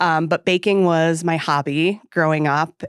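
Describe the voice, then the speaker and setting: The recording is very clean, its background silent. Her voice as a woman sits fairly low in pitch. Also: dry, close sound with no echo. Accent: Wisconsin. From central New York (Syracuse). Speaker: home baking business owner. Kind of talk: casual podcast interview.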